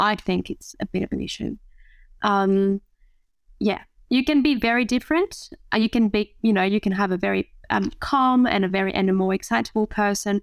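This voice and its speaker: In a French accent, a woman talks at a moderate pace. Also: medium pitch for a woman, ordinary pitch variation. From France. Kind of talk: casual interview.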